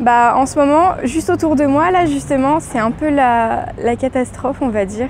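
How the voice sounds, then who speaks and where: Noticeable background noise beneath a woman talking with ordinary pitch variation. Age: 20s. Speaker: student. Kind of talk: street interview.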